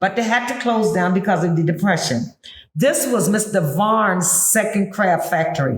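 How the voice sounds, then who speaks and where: Somewhat breathy speech with ordinary pitch variation carries an audible room echo. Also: woman. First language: Gullah. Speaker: historical interpreter, tour guide. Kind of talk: interview, explaining to a visitor. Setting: on-site at a heritage museum.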